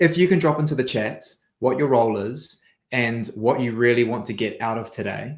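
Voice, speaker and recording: Here a man talks fairly quickly. His pitch sits in the middle range and varies in an ordinary way. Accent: New Zealand. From New Zealand. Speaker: sales trainer, business founder. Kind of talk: webinar presentation. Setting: online webinar.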